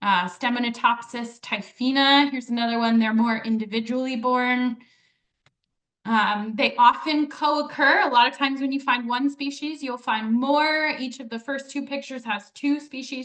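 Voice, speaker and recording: Her pitch is high and varies in an ordinary way as this woman's loudness swings widely. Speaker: ecologist giving a naturalist talk. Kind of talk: presentation to a live audience. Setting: community event with audience. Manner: fast.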